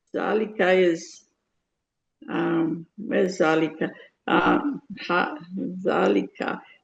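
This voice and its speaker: A woman's fairly low pitch with vocal fry and very wide pitch swings, at a very slow pace with long, frequent pauses. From Guyana. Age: 70s. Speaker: adult student. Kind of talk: language lesson. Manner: halting.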